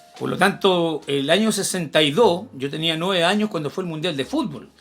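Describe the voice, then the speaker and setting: The speech comes at a moderate pace in a Chilean accent. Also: man. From Chile, Santiago. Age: 60s. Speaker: history teacher. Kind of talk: casual chat.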